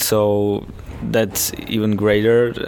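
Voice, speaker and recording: With a Czech accent, a man speaks at a very slow pace and fairly low pitch, amid audible room echo and noticeable background noise. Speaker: ice hockey player. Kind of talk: interview. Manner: halting.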